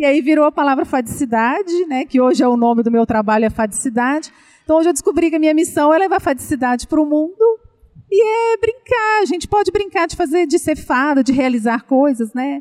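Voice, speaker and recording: Her voice is high-pitched, and this woman's pitch swings very widely. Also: fairly quick pace. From Minas Gerais, Brazil. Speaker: children's content creator and speaker. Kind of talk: casual interview chat.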